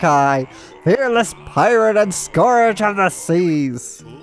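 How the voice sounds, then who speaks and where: A put-on character voice at a middle pitch and very slow pace, with clear music in the background. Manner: boastful.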